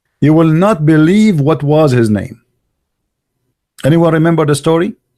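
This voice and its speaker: A man's fairly high voice with an Arabic accent, a dark, mellow tone, very even loudness, ordinary pitch variation and a moderate pace. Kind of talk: live stream chat talk. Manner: animated.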